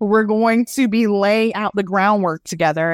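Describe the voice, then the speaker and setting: On a very clean recording with a silent background, a woman speaks at a moderate pace in an ordinary speaking voice with ordinary pitch variation. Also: dry, close sound with no echo. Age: 30s. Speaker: UX/UI designer, former life coach. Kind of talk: casual interview.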